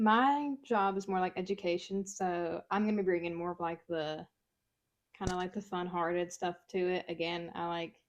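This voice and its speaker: A woman speaks in a Mississippi accent at a medium pitch. Her pace is moderate and her pitch variation ordinary. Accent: Southern US (Mississippi). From US South, Mississippi. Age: 20s. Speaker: podcast co-host. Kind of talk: casual chat.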